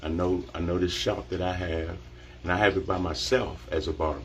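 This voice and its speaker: At a moderate pace, a man speaks in a very deep, low voice. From Washington DC area. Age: 50s. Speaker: barber. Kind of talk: live social media monologue. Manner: animated.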